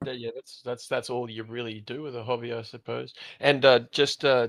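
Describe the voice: Monotone, flat intonation from a man with an Australian accent, medium in pitch, at a moderate pace, with big swings in loudness.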